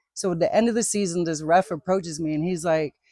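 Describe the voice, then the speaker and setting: The speaker, in an American accent, talks at a moderate pace with a dry, close sound and no echo. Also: woman. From southern Maryland (Calvert County). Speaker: basketball referee. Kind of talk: casual interview chat.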